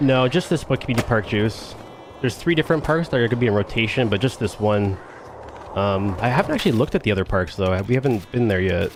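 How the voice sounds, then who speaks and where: Music plays behind a man speaking at a very fast pace. His pitch is medium and his intonation is lively. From Canada. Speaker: video game streamer. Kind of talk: live gameplay commentary. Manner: mumbling; casual, halting.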